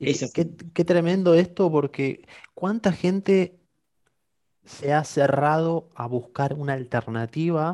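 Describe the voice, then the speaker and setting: At a very slow pace, a man with a dark, mellow tone speaks with ordinary pitch variation in a dry, close sound with no echo. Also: fairly high pitch for a man. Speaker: podcast host. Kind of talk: live-streamed podcast interview.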